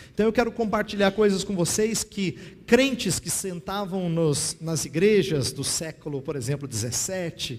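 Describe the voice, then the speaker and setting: A man speaks at a moderate pace in a high voice with lively intonation. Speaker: pastor and theology teacher. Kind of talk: lecture. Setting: classroom with audience and slides.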